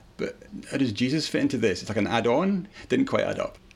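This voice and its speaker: Speaking with a Scottish accent, the voice moves at a very fast pace. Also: man. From central Scotland. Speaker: convert to Judaism. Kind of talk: interview testimony.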